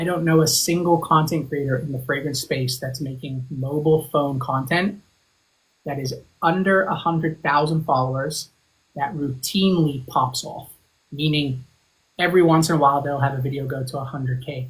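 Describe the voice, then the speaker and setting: At a moderate pace, a man with an American accent speaks in a fairly high pitch, somewhat breathy, with fairly even intonation. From Zimbabwe, then England, then Arizona. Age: 30s. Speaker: fragrance content creator. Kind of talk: podcast interview. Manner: calm.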